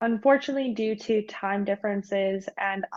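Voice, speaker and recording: A woman with a Canadian accent has an ordinary speaking voice at a medium pitch. She talks at a moderate pace. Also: dry, close sound with no echo. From Canada, Vancouver. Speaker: research student. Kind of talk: prerecorded research presentation.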